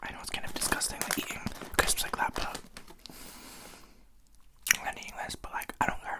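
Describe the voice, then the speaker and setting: A man whispering in a relaxed tone at a fairly quick pace, with long, frequent pauses, big swings in loudness and noticeable background noise. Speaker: ASMR content creator. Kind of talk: casual talk to camera. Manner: soft-spoken, relaxed, chatty, with eating sounds.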